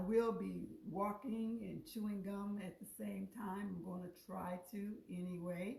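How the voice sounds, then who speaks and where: A somewhat breathy woman's voice at medium pitch, with ordinary pitch variation, a fairly slow pace and audible room echo. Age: 60s. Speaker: cooking show host. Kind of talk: live cooking stream. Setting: live on Facebook. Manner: casual, halting.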